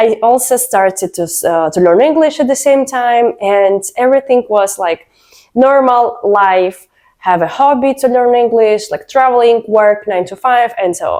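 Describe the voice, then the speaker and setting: A woman with a Russian accent, her fairly high voice dark and mellow in tone, with lively intonation at a fairly slow pace. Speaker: vlogger. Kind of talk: personal story vlog.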